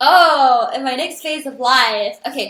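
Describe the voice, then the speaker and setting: A woman with an animated tone and lively intonation. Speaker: content creator and singer. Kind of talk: interview conversation.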